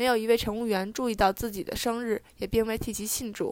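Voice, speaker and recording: In a normal speaking voice, the speaker talks at a fairly slow pace with fairly even intonation. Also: woman. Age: 20s. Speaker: podcast co-host, student. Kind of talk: news reading; casual chat.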